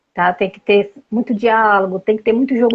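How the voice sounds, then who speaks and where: Her pitch fairly high, a woman speaks at a moderate pace in a monotone, flat intonation. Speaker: family therapist. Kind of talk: interview.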